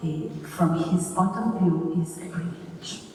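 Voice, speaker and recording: A woman with a non-native accent and a fairly low pitch at a very slow pace, with audible room echo and noticeable background noise. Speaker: professor. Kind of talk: academic lecture read from text. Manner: halting.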